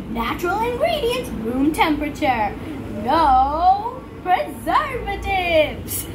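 This put-on character voice sits at an extremely high pitch and moves at a fairly slow pace. Loud background noise fills the recording. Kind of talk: salesy advertising announcer. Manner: smooth, promotional.

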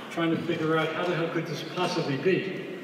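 A man talks in a high-pitched voice. Audible room echo and light background noise sit behind him. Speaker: speaker. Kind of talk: speech at awards dinner. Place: hall.

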